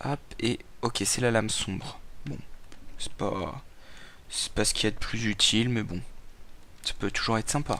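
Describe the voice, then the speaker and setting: Medium in pitch, a man talks at a moderate pace with ordinary pitch variation and long, frequent pauses. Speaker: gaming youtuber. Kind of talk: let's play commentary. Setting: at home at night. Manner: speaking quietly; halting, repeats words.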